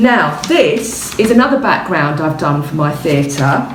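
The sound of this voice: A woman with a low pitch speaks at a slow pace, her intonation lively. Audible room echo surrounds her voice.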